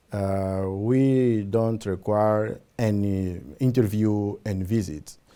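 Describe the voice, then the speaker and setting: A man's dark, mellow voice at a fairly low pitch with a Portuguese accent, very slow in pace with hardly any pauses, fairly even intonation, and a very clean recording over a silent background. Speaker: government program representative. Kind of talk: interview. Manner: halting, many fillers.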